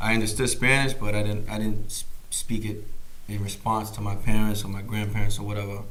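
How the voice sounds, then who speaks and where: Speech at a fairly quick pace comes through with audible room echo. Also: man. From Boston, US, Puerto Rican family. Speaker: musician. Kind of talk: casual interview chat. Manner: casual, filler-heavy.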